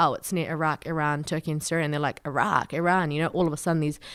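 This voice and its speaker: With a New Zealand accent, a woman talks very fast in a fairly low pitch. The recording is very clean, with a silent background. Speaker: lawyer and refugee advocate. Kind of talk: podcast interview.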